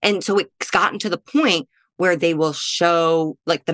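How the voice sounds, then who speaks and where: A woman speaks in a normal speaking voice with an American accent at a moderate pace. The sound is dry and close with no echo. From US Midwest. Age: 30s. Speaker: comedian. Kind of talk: casual chat.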